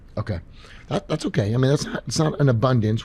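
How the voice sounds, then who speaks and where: Very fast and lively in intonation, a man speaks with a dark, mellow tone that is somewhat breathy. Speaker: chiropractor and podcast host. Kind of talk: live Q&A. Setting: stage with live audience. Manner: quiet, low tone with patients.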